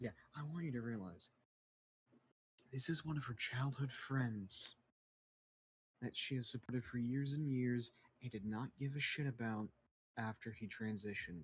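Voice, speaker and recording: Whispering at a moderate pace, a man sounds somewhat breathy and leaves long, frequent pauses. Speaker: gaming streamer. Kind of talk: casual chat.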